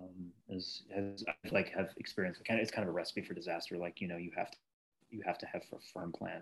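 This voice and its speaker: Very fast and monotone, a man with an American accent speaks in a very deep, low voice with flat intonation. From US Northeast (Newton, Massachusetts). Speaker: actor. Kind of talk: casual chat.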